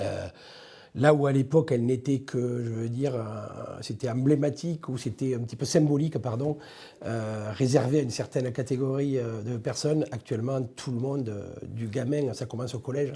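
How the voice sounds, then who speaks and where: The man's voice sits at medium pitch with a dark, mellow tone and is somewhat breathy. He speaks with a southern French accent. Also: fairly even intonation, moderate pace. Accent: southern French accent, kept. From southern France, Ariège. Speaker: police director. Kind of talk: interview. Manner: hesitant, many fillers.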